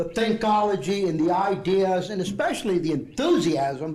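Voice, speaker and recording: A man speaks with a Southeast Texas accent at a high pitch. There is audible room echo. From Southeast Texas (Port Arthur), Mexican-American family. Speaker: retired ESL program director, keynote speaker. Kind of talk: keynote speech. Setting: conference dinner with audience.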